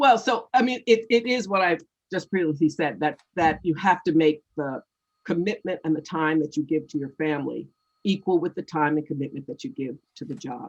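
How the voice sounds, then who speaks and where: A woman with a fairly low pitch speaks in a normal speaking voice at a moderate pace with lively intonation. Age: 60s. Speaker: author and former nonprofit CEO. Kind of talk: interview.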